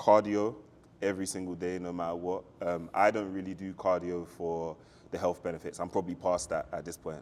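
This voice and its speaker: A man with a London accent, very deep and low in pitch, fairly quick, in a flat monotone. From South London, England. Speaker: fitness enthusiast. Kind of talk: podcast interview.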